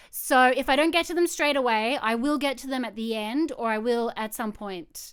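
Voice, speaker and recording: A woman's high-pitched voice in an Australian accent, fairly slow and with ordinary pitch variation, on a very clean recording with a silent background. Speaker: photographer. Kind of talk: live-streamed presentation. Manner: casual.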